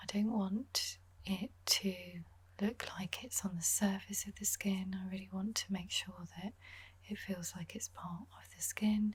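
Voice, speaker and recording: A soft-spoken woman talks in a calm tone at a fairly slow pace. Her loudness swings a lot. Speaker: makeup artist. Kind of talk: makeup tutorial voice-over. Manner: soft-spoken, calm.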